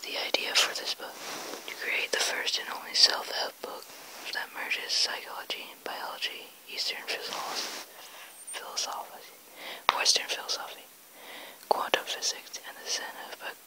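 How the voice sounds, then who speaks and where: A whispered voice with long, frequent pauses comes through over noticeable background noise. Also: moderate pace. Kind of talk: ASMR book reading.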